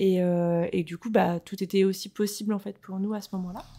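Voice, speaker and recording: A woman speaks in a monotone with flat intonation and a dark, mellow tone. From France, Rennes (Brittany). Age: 30s. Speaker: podcast guest, mother. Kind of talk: casual interview, personal testimony. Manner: hesitant, many fillers.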